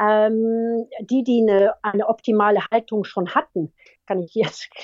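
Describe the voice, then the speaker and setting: The sound is dry and close, with no echo. The speaker is a woman. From France, raised trilingual, German mother. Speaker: veterinarian and university lecturer, animal welfare officer in horse racing. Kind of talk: interview. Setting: phone call.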